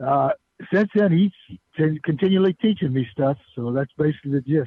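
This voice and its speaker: A man's fairly high-pitched voice, fairly quick and with lively intonation, an unremarkable speaking voice. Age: 60s. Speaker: author. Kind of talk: radio interview. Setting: phone call.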